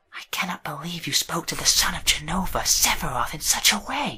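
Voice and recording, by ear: Using a raspy, put-on character voice, a man speaks at a fairly quick pace with a high pitch.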